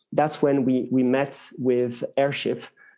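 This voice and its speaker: At a moderate pace, a man with a French accent speaks in a medium pitch with a dark, mellow tone. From France. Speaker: tech executive. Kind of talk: interview. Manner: hesitant, many fillers.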